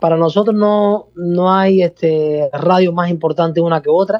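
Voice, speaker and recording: A man's high-pitched voice with a Peruvian accent and fairly even intonation. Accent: Peruvian-sounding. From Cuba, province outside Havana. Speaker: salsa orchestra musical director. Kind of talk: radio interview. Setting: phone call.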